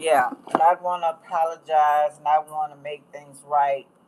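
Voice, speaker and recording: A woman with an American accent and a very deep, low pitch speaks in a monotone, flat manner at a fairly slow pace over noticeable background noise. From US, rural. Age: 60s. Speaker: astrology tarot reader. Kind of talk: livestream talk. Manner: casual, rambling.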